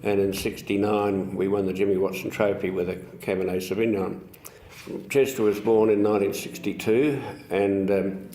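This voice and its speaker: An Australian accent comes from a man with a fairly low pitch and fairly even intonation who speaks at a moderate pace amid noticeable background noise and audible room echo. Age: 80s+. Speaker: winery founder. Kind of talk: oral history interview. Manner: halting.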